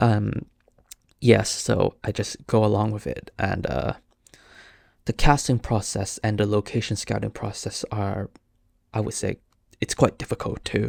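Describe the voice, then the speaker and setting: Speaking with a Cantonese accent at a fairly slow pace, a man leaves long, frequent pauses in a dry, close sound with no echo on a very clean recording with a silent background. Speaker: podcast host, filmmaker. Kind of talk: casual solo podcast talk. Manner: halting, many fillers and restarts.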